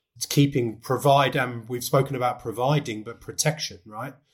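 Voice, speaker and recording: Somewhat breathy, a man speaks at a moderate pace in a medium pitch with monotone, flat intonation. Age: 30s. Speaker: executive coach, former cricketer. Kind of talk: podcast interview. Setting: video call.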